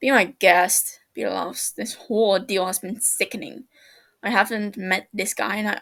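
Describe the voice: Here is plain reading aloud with fairly even intonation. The background is quiet.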